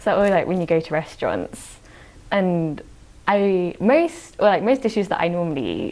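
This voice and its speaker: The voice carries a British accent. It moves at a moderate pace. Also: woman. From UK, British-born Chinese. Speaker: podcast guest. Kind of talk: casual chat.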